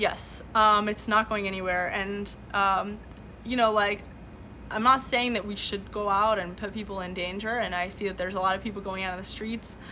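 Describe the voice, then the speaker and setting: Speaking at a moderate pace in a Californian accent, a woman holds a monotone, flat intonation at medium pitch, with audible room echo. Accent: American, Californian. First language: Farsi. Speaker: livestream host. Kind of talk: live stream commentary. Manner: many fillers and restarts.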